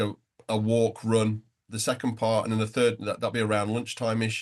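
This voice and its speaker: A man with a northwest English accent, medium pitch and a fairly quick pace. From northern England, between Liverpool and Manchester. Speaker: entrepreneur, nonprofit founder, runner. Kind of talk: interview conversation. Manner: halting.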